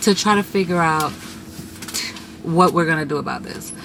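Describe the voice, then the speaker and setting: A woman whose voice sits fairly low talks at a moderate speed, with noticeable background noise behind her. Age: 30s. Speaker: vlogger. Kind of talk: casual chat. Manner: chatty.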